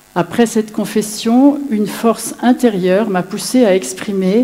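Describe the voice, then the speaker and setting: Speaking at a fairly slow pace, a woman uses a plain, everyday voice with lively intonation. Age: 60s. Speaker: widow giving a faith testimony. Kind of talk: testimony.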